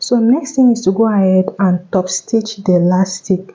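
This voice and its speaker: A soft-spoken woman with a medium pitch talks at a fairly slow pace and with fairly even intonation over noticeable background noise. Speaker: tailor. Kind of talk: tutorial.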